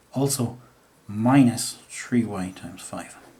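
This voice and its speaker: Audible room echo around a man speaking at a very slow pace, medium pitch and fairly even intonation. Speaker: maths teacher. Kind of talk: tutorial.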